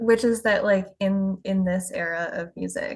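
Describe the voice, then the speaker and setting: A woman speaks in a somewhat breathy voice. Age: 20s. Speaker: podcast co-host. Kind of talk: casual interview. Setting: remote call.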